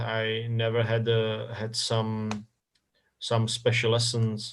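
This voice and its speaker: The speaker has a Czech accent, and audible room echo surrounds the voice. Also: man. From Czech Republic, north Bohemia. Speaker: football club communications director. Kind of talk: interview. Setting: live stream interview. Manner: halting, many repetitions and fillers.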